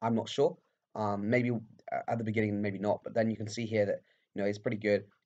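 Long, frequent pauses break up a man's very fast speech. His voice is fairly low, with fairly even intonation. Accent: British. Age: 20s. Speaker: amateur cyclist and student YouTuber. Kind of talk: casual vlog commentary. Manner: hesitant, many fillers.

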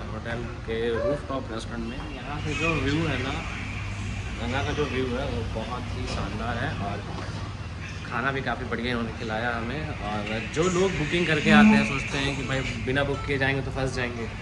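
Loud background noise fills the clip. A man speaks at a fairly slow pace. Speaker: travel vlogger. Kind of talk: casual vlog chat. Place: cafe. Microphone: phone near.

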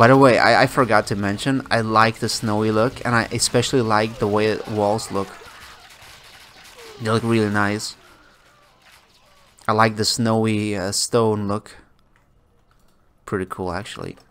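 With monotone, flat intonation, a man speaks at a moderate pace in a fairly low voice. His delivery has long, frequent pauses. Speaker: gameplay commentator. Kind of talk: casual gameplay commentary. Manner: calm.

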